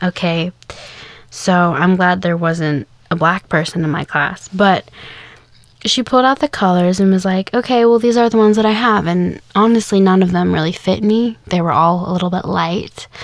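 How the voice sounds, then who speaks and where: In a plain, everyday voice, a woman talks at a moderate pace with medium pitch and ordinary pitch variation. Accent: American. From Kansas, US. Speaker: podcast host. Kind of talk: casual monologue. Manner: casual, with fillers.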